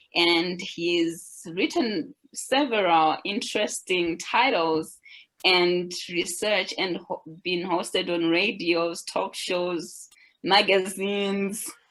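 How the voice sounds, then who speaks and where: At a very slow pace, a woman with an African accent speaks at a medium pitch with ordinary pitch variation. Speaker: webinar moderator. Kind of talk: webinar introduction.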